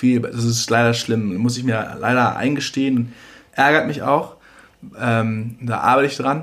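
At a fairly slow pace, a man talks in an ordinary speaking voice, medium in pitch, with fairly even intonation. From Germany. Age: 30s. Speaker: singer-songwriter. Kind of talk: casual chat. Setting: home kitchen.

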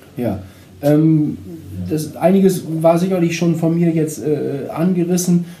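With audible room echo, a man with a high pitch talks at a very slow pace with ordinary pitch variation. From northern Germany, Vechta district (Lower Saxony). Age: 50s. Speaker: insurance advisor. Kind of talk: podcast interview.

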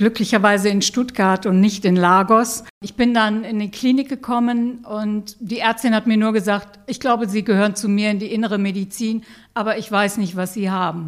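A woman with an unremarkable speaking voice, fairly high-pitched, at a moderate pace with hardly any pauses and fairly even intonation. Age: 60s. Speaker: patient and peer counselor. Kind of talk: interview, personal testimony.

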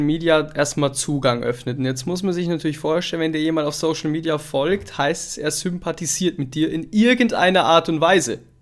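A man speaks in a normal speaking voice at a moderate pace. His fairly high pitch shows ordinary variation. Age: 20s. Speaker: podcast host. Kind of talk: casual interview chat. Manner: casual, filler-heavy.

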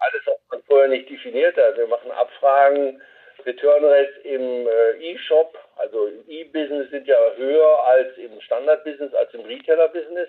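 Delivered at a moderate pace, the speech swings widely in loudness. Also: man. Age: 60s. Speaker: company CEO. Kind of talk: radio interview. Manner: halting.

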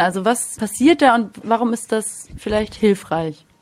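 A woman with a normal speaking voice and a fairly high pitch talks at a moderate pace. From Munich. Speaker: podcast host. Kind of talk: interview.

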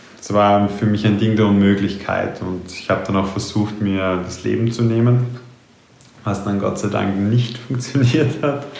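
A man's fairly low voice, with ordinary pitch variation, comes at a fairly slow pace amid noticeable background noise and audible room echo. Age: 20s. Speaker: mindfulness and mental trainer. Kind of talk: personal monologue podcast.

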